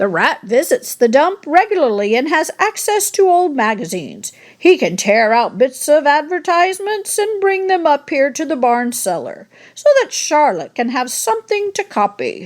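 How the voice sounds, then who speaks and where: A woman uses a put-on character voice pitched high, with very wide pitch swings. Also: moderate pace. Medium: read story.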